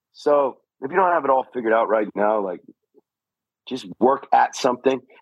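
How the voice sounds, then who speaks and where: The man's voice sounds dry and close, with no echo. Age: 40s. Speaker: fatherhood coach. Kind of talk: casual chat. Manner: animated.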